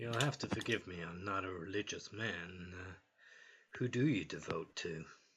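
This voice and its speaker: In a put-on character voice, a man speaks at a moderate pace, raspy and very deep in pitch. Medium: actual play.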